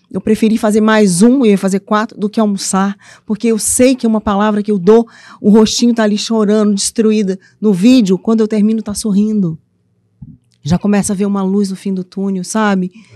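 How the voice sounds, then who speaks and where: In a Minas Gerais accent, a woman speaks with a dark, mellow tone in a dry, close sound with no echo. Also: medium pitch for a woman, moderate pace. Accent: Minas Gerais accent, noticeable. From eastern Minas Gerais, Brazil (Ipatinga area). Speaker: author and mentor for abused women. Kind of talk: podcast interview. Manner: animated, playful.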